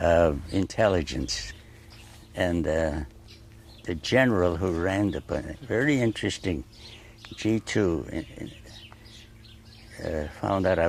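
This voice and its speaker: A man speaks in a very deep, low pitch with lively intonation. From Turkey-born Armenian, raised in New Haven, Connecticut from 12. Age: 80s+. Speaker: painter. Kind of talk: interview. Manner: halting, with repeated words and fillers.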